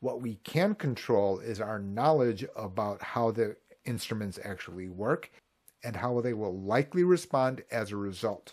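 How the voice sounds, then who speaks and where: Speaking with a Midwestern US accent, a man keeps a medium pitch. His pace is moderate, with ordinary pitch variation. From US Midwest. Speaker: Medicare insurance agent and video creator. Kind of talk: tutorial. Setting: online video, screen share.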